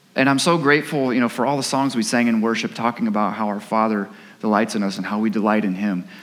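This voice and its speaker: A man talks at a very fast pace, with audible room echo and noticeable background noise. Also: medium pitch for a man, ordinary pitch variation. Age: 30s. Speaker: pastor. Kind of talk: sermon. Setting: church. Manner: halting.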